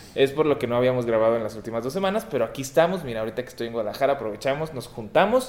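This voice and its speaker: Lively intonation runs at a very fast pace with hardly any pauses, over noticeable background noise. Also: man, medium pitch for a man. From Torreón, northern Mexico. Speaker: podcast co-host and comedian. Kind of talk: casual chat. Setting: apartment with echo. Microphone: room echo.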